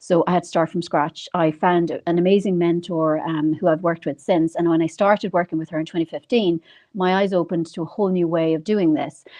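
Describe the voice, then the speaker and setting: The speaker talks in an Irish accent at a fairly quick pace, with hardly any pauses. The intonation stays fairly even. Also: woman, fairly low pitch for a woman. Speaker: financial advisor. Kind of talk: interview.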